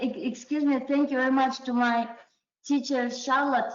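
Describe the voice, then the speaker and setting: A woman's high-pitched voice with fairly even intonation and audible room echo. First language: not English. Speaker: adult learner, award-winning writer. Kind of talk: interview. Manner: halting.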